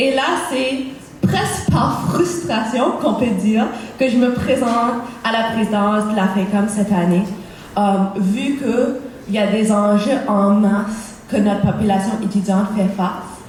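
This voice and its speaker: With audible room echo and noticeable background noise, a woman speaks with ordinary pitch variation. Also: fairly high pitch for a woman, fairly slow pace, very even loudness. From Cape Breton, Nova Scotia, Canada. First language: English (speaking French). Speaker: student election candidate. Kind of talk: campaign debate speech.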